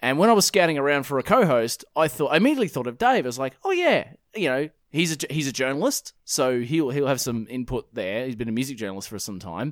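In an Australian accent, a man speaks at a very fast pace and fairly high pitch with lively intonation, the sound dry and close with no echo on a very clean recording with a silent background. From Perth, Western Australia. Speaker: podcast host. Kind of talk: casual chat.

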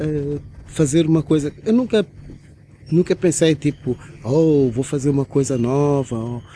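A man's fairly high, dark, mellow voice at a fairly slow pace, with ordinary pitch variation and long, frequent pauses. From Angola. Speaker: DJ. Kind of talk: interview conversation. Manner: halting, with repetitions.

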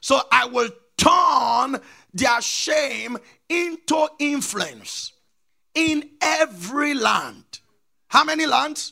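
In a raised, projected voice with a bright, sharp tone, the speaker goes at a very slow pace, leaving long, frequent pauses and showing ordinary pitch variation. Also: man, extremely high pitch for a man. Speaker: pastor. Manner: emphatic and repetitive, drilling key phrases and prompting the congregation to answer.

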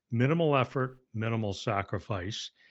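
A man's fairly slow speech with lively intonation. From Canada. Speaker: author and speaker. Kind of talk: podcast interview.

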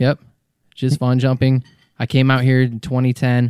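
A man with an American accent and a dark, mellow tone talks at a fairly quick pace. The very clean recording has a silent background and a dry, close sound with no echo. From Colorado (suburb of Denver). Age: 30s. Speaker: jump pilot and skydiver. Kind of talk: casual interview chat.

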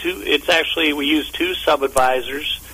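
With noticeable background noise behind him, a man with an American accent talks at a moderate pace. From US Midwest (Omaha, Nebraska). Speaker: fund company executive. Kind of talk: radio interview. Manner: halting, many fillers and repetitions.

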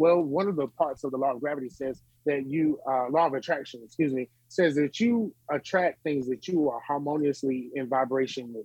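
A fairly high-pitched man with a Southern US accent, ordinary pitch variation and a fairly quick pace. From North Carolina (Smithfield). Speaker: gospel musician and author. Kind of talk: interview. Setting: remote virtual studio.

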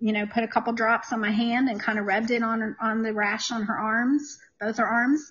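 A woman speaks at a fairly quick pace in an unremarkable speaking voice, her fairly high pitch held in a fairly even intonation. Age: 50s. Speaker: essential oils guest. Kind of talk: casual interview chat. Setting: online livestream.

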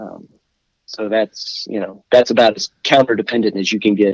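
A man with an American accent and a plain, everyday voice speaks at a moderate pace. His pitch is medium and the sound is dry and close, with no echo. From Washington D.C. area. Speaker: musician. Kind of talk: casual chat.

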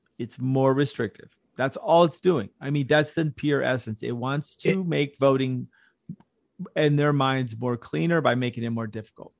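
Speaking at a moderate pace and medium pitch, a man with an American accent has a plain, everyday voice. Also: ordinary pitch variation. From Houston, Texas. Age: 40s. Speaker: podcast co-host. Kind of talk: casual chat. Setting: video call.

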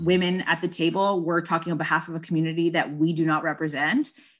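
A woman talks at a very fast pace with a Toronto accent. Her intonation stays fairly even. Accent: Canadian English (Toronto). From Scarborough, Toronto, Ontario, Canada. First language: Spanish. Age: 30s. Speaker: charity program director and soccer coach. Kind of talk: interview conversation. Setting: video call.

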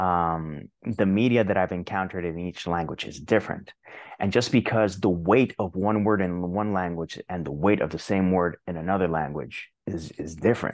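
A man's very deep, low voice at a moderate pace with ordinary pitch variation, over a quiet background. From Puerto Rico. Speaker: indie author and translator. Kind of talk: casual interview conversation.

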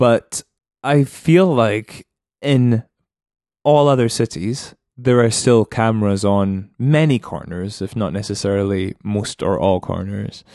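In a Scottish accent, a man speaks fairly slowly at a medium pitch with a dark, mellow tone and ordinary pitch variation, the sound dry and close with no echo against a quiet background. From Scotland, Edinburgh. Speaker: businessman and musician. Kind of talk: casual chat.

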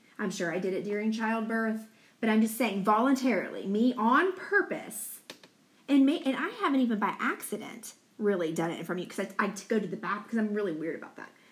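Her fairly high voice races at a very fast pace with lively intonation, over noticeable background noise. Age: 40s. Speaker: podcast co-host. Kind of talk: casual chat. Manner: loud.

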